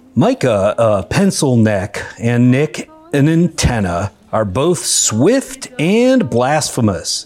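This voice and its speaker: Speaking at a very slow pace, a man with a fairly high pitch makes very wide pitch swings while his loudness stays very even, over noticeable background noise. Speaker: comedy podcast host. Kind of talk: comedic improv banter. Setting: recording with microphone.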